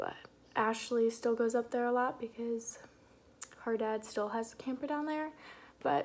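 At a fairly slow pace, a woman speaks with ordinary pitch variation. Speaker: vlogger. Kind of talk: casual vlog chat. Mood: relaxed, chatty. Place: kitchen. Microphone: phone near.

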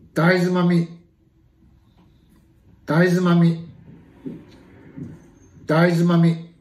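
A man speaks with a high pitch. His intonation is monotone and flat, with audible room echo. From Miyako Island, Okinawa. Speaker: pronunciation leader for language practice. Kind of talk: vocabulary pronunciation drill. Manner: slow, clear. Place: home room. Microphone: phone near.

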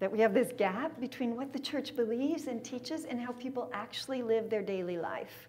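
Talking at a fairly quick pace with hardly any pauses, a woman uses a high voice with ordinary pitch variation and a Californian accent. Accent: General American (Californian). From San Diego, California. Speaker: theology speaker; speaker. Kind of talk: lecture. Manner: animated. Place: meeting room.

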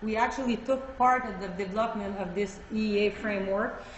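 A woman with a Quebec accent, fairly even intonation and a moderate pace, over noticeable background noise. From Quebec, Canada. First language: French. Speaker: government official. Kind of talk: conference presentation. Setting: stage with audience. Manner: halting, many fillers.

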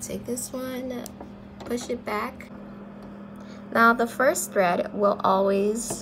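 Over noticeable background noise, a woman with a fairly high pitch speaks at a very slow pace with fairly even intonation and long, frequent pauses. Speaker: sewing tutorial maker. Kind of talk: tutorial talk to camera.

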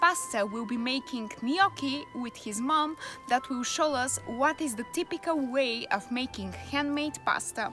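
Over clear background music, a woman with a high pitch speaks at a fairly slow pace in a dry sound with no echo. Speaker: travel vlogger. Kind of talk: casual vlog chat. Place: garden. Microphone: phone near.

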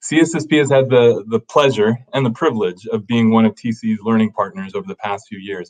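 Speaking at a moderate pace, the man keeps his intonation fairly even. The background is quiet. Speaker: webinar host. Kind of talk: scripted introduction. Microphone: webcam.

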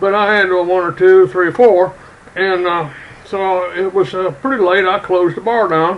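The speech moves at a fairly slow pace. Pitch varies in an ordinary way. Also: man. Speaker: character vlogger. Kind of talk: casual vlog chat, storytelling. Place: home room. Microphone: webcam.

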